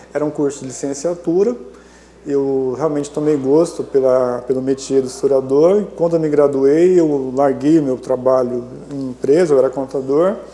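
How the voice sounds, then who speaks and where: The voice keeps a fairly even intonation, with noticeable background noise present. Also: man, fairly high pitch for a man, moderate pace. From Maringá, Paraná, southern Brazil. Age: 50s. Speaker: historian and professor. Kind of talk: interview. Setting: studio.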